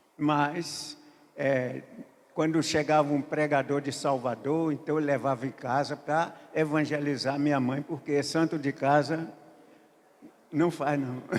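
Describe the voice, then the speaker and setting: A man's monotone, flat intonation broken by long, frequent pauses. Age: 80s+. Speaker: pastor. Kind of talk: sermon. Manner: halting.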